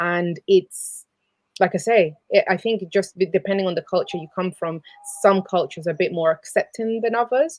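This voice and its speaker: This woman talks at a moderate pace with medium pitch and ordinary pitch variation. The sound is dry and close, with no echo. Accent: Spanish. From South America. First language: Spanish. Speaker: abuse counsellor. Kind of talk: live show chat. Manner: halting.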